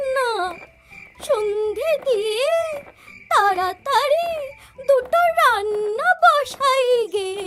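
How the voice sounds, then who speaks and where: In a cartoonish character voice, a woman speaks at an extremely high pitch with lively intonation and a very slow pace. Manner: plaintive, fussy.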